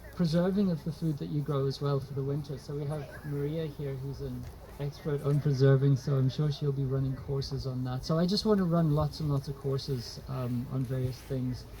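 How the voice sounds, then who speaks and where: A man with a fairly high voice talks fairly quickly, and noticeable noise sits behind him. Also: fairly even intonation. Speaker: trauma therapist and speaker. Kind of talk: public talk. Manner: halting.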